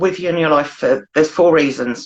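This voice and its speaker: A woman speaks with a British accent. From UK. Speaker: blogger. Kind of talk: casual chat.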